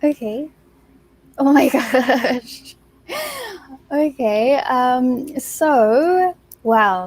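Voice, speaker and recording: A high-pitched woman with an Australian accent, very slow, with long, frequent pauses and ordinary pitch variation. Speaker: beauty pageant contestant. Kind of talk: interview.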